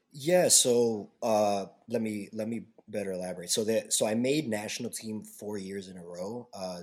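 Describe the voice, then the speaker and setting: A man with a Chicago accent speaks in a fairly low voice with ordinary pitch variation. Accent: Chicago American. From US Midwest, South Side of Chicago. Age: 20s. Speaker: taekwondo instructor. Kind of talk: casual chat. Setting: remote recording.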